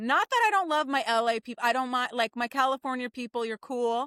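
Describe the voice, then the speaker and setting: A woman with a New Jersey accent speaks in an animated, bright, sharp tone at a high pitch, with ordinary pitch variation and a dry, close sound with no echo. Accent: New Jersey American. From New Jersey, Jersey Shore. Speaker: theater writer and director. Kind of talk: casual chat.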